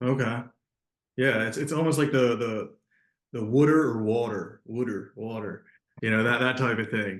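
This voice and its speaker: A man talks at a moderate pace and medium pitch, with ordinary pitch variation. His speech has long, frequent pauses. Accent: Philadelphia. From Delaware County, southeast Pennsylvania. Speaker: podcast host. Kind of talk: interview. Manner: casual, repetitive fillers.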